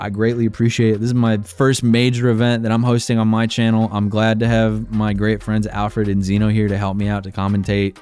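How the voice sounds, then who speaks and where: Music plays in the background while this man talks with fairly even intonation. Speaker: streamer and tournament host. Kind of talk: livestream chat. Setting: livestream.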